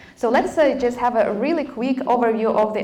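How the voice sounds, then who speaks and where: A woman at a fairly quick pace, with audible room echo and noticeable background noise. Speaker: conference speaker on AI engineering. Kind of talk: technical talk with live demo. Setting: stage with audience at a meetup. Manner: hesitant, many fillers.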